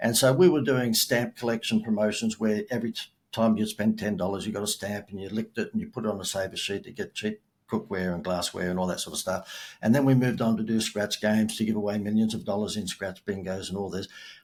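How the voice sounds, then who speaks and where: A man with a fairly low pitch talks at a very fast pace with hardly any pauses. The recording is very clean, and the background is silent. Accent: Australian. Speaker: marketing expert and keynote speaker. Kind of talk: podcast interview. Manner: animated.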